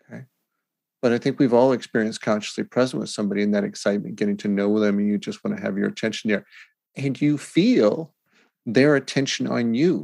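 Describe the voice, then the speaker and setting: The speaker is a man with a medium-pitched voice. His intonation is lively. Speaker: podcast host. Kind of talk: casual interview chat. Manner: slow cadence, soothing.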